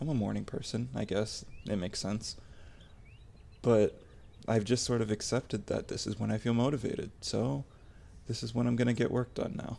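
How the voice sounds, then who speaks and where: Soft-spoken, with a dark, mellow tone and vocal fry, the voice moves at a moderate pace with ordinary pitch variation and long, frequent pauses. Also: man, medium pitch for a man. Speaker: ASMR content creator. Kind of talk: personal vlog monologue. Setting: home recording at night. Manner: halting.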